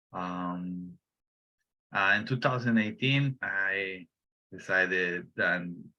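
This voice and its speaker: A man's fairly low, bright, sharp voice at a very slow pace, with fairly even intonation and a quiet background. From Bolivia. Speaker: urban beekeeper. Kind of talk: panel self-introduction.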